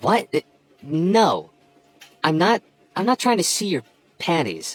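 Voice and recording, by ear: A man's put-on character voice, high-pitched and slow, with very wide pitch swings and faint music in the background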